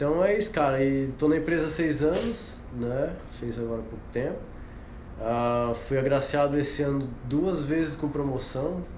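With audible room echo and noticeable background noise, a man talks at a fairly slow pace in a fairly high pitch with ordinary pitch variation. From Paraná, Brazil. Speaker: professional surfer and company employee. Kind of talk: casual chat.

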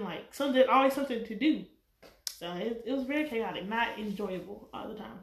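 Speaking very fast with big swings in loudness, a woman with a Southern US accent has a fairly high pitch. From North Carolina. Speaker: guest and school coworker. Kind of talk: casual chat.

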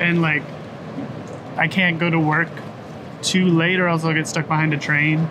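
A man with a Canadian accent speaks at a fairly high pitch and a moderate pace, in a monotone, flat intonation with very even loudness. Long, frequent pauses break his speech, and background noise is noticeable. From Kingston, Ontario, Canada. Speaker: teacher and musician. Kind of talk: interview. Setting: outdoors on a covered deck.

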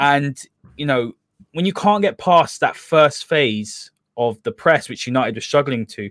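The speaker has a London accent and lively intonation. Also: man. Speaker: football podcast host. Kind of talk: casual football analysis chat.

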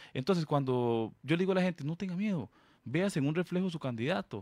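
A man speaks in an ordinary speaking voice with lively intonation at a fairly quick pace. The recording is very clean, dry and close, with no echo and a silent background. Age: 30s. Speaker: political candidate. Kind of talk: radio interview.

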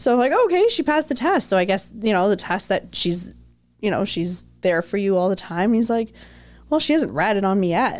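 A woman with a Canadian accent uses a plain, everyday voice at a medium pitch, keeping a moderate pace and very even loudness. Her intonation is lively, and the recording is very clean with a silent background. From Toronto, Canada. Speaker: wedding planner. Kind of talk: casual interview chat. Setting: livestream.

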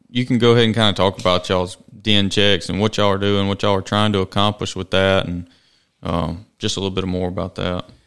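Ordinary pitch variation marks this man's speech. He talks at a fairly low pitch. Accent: Mississippi. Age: 30s. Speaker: podcast host. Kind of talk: casual interview. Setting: studio.

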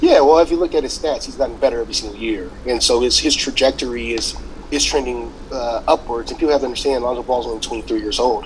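Noticeable background noise fills the recording. A man speaks at a very fast pace. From Louisiana. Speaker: athletic trainer. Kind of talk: podcast interview.

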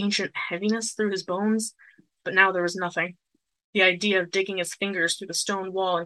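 In an unforced reading voice with fairly even intonation, the speaker reads over a quiet background.

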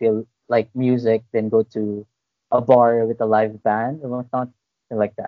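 Flat and monotone, a man talks fairly slowly at a medium pitch. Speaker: podcast co-host. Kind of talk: casual chat.

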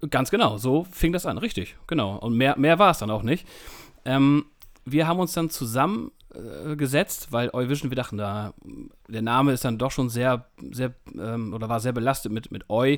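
Here is a man with a plain, everyday voice at a medium pitch. He keeps a moderate pace, with lively intonation. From northern Germany, East Frisia near Emden. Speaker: music magazine editor, co-host. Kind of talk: casual chat. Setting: remote call.

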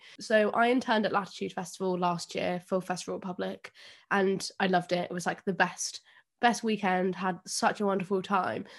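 A woman's medium-pitched voice in an English accent, at a fairly quick pace with fairly even intonation. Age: 20s. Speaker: podcast host. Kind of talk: casual chat. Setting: video call.

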